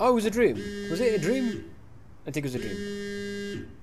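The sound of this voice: Over faint music in the background, a man with a high pitch and a slightly mellow tone speaks at a moderate pace with lively intonation.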